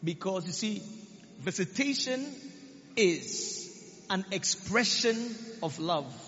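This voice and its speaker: With lively intonation and a high pitch, a man speaks at a very slow pace, leaving long, frequent pauses. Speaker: preacher. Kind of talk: sermon, preaching with prayer and declarations. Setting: church. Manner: fervent, commanding, rallying the congregation with call-and-response; declarative, prophetic, repetitive.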